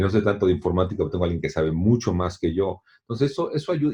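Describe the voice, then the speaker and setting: Lively intonation in a man's somewhat breathy voice, dark and mellow in tone. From Mexico. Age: 60s. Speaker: long-distance swimmer and author. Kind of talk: interview. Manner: halting, many repetitions and fillers.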